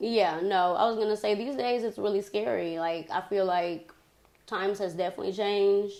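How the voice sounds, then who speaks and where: A woman speaks at a moderate pace with an American accent, a medium pitch and ordinary pitch variation. It is a plain, everyday voice. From Texas, Beaumont. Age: 20s. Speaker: baker. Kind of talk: casual chat.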